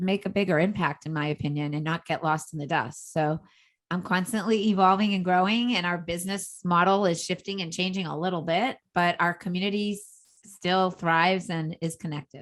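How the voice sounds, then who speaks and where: A woman speaks at a fairly quick pace with hardly any pauses. Her voice is fairly low in pitch, with a Boston accent. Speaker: entrepreneur and social media coach. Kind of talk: podcast interview. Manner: energetic.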